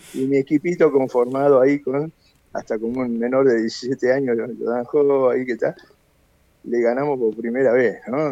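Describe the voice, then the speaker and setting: This man has an ordinary speaking voice with a medium pitch. He keeps a moderate pace and fairly even intonation. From Argentina, Buenos Aires. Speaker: karate master. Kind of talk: interview.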